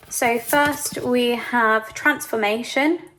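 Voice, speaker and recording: A woman talks with lively intonation at a high pitch. Noticeable background noise can be heard. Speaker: tarot reader. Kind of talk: tarot reading.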